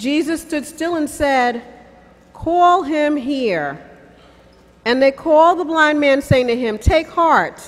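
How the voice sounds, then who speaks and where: A woman talks in a high pitch. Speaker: scripture reader. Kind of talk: scripture reading. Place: stage. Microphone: podium.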